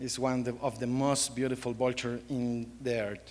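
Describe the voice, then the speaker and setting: A man talks with a Costa Rican accent. His pitch is medium. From Costa Rica, central Pacific coast. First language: Spanish. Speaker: wildlife photographer. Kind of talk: panel presentation. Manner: halting.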